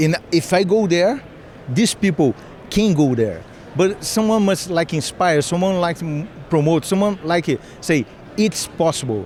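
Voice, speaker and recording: A high-pitched man's voice with a Brazilian accent, lively intonation and a fairly slow pace, over noticeable background noise. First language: Portuguese. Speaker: cybersecurity defender. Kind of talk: interview. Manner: halting.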